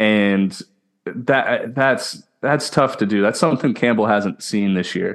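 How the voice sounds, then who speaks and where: In a very clean recording with a silent background, a man with an American accent speaks in an unremarkable speaking voice at a medium pitch with ordinary pitch variation. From Houston, Texas. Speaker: podcast host, former college baseball player. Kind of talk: casual chat.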